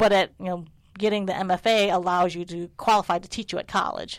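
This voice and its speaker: A woman with an American accent speaks in an ordinary speaking voice, fairly low in pitch and fairly quick, with fairly even intonation on a very clean recording against a silent background. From United States, Chinese American family. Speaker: art professor. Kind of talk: casual interview. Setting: art studio.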